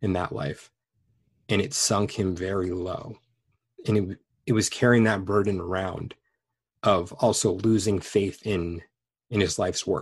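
A man with an American accent talks at a fairly slow pace, somewhat breathy and fairly low in pitch. His pitch varies in an ordinary way, with long, frequent pauses. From Los Angeles, California. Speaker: past life regressionist. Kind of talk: interview conversation.

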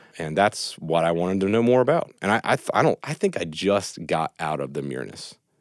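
A man's very deep, low voice with vocal fry, lively intonation, a fairly quick pace and hardly any pauses, in a dry, close sound with no echo. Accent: American. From West Virginia. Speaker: network engineer and law school applicant. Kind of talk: casual chat.

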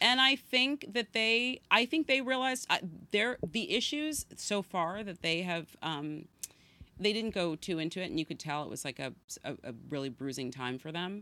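With a bright, sharp tone and very wide pitch swings around a medium pitch, a woman speaks at a moderate pace on a very clean recording with a silent background. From San Francisco, northern California. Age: 40s. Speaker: podcast guest. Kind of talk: casual chat.

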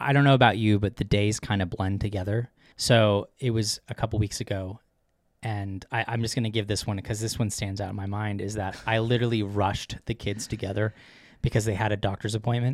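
A man's fairly low voice, flat and monotone, at a fairly quick pace, in a very clean recording with a silent background. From Vermont. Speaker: podcast host, parent. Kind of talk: casual chat.

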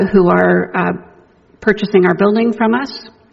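The speech holds a moderate pace while noticeable background noise runs underneath. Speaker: church minister leading service. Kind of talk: service announcements and benediction. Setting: church. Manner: hesitant, filler-heavy.

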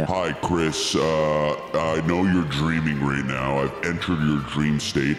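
A man performs in a put-on character voice at a fairly slow pace. His loudness stays very even, with a clear echo. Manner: classic Hollywood trailer style.

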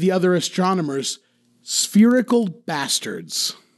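A man speaking against a quiet background. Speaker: podcast co-host. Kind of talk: casual chat.

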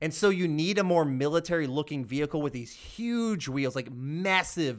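A man's unremarkable speaking voice in an American accent, fairly high-pitched for a man, with ordinary pitch variation, a moderate pace, and a very clean recording over a silent background. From US South, Georgia. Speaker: podcast co-host. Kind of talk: casual chat.

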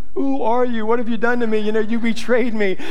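Someone talks at a very fast pace in a put-on character voice. Noticeable background noise runs underneath. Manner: betrayed, accusing, whimpering.

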